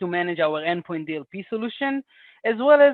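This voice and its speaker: The speaker, with an Israeli accent, talks at a fairly quick pace. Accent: Israeli accent, noticeable. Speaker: senior product manager. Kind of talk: interview.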